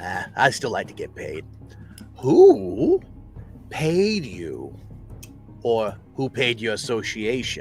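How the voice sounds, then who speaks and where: Over clear background music, a man in a put-on character voice speaks very slowly, with long, frequent pauses. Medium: actual play. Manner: playful menace.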